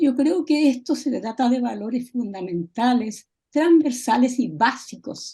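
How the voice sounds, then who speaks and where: A woman talks at a fairly slow pace. Her high voice moves with lively intonation. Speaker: audience member, former UN worker. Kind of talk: Q&A comment after lecture.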